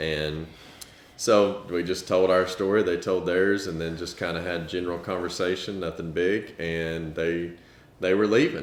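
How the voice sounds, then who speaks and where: A man's very deep, low voice in a flat monotone, with audible room echo. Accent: Southern US. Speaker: parent of child with rare disease, family vlogger. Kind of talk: casual storytelling.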